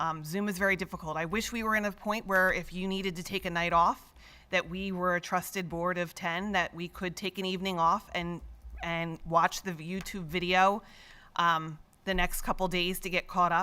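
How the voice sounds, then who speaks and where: A woman speaks at a moderate pace in a medium pitch, her delivery monotone and flat, her tone bright and sharp, loud against a very clean, silent background. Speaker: school board member. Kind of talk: public meeting remarks. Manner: assertive.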